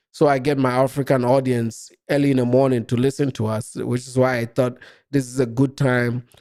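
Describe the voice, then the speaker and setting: With a Ghanaian accent, the speaker talks at a fairly quick pace. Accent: Ghanaian English, largely unchanged. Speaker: live-stream commentator. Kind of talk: live stream chat reacting to comments. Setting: live stream.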